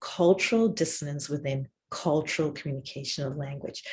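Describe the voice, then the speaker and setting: Speaking with ordinary pitch variation, a woman sounds somewhat breathy. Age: 60s. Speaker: professor. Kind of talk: lecture.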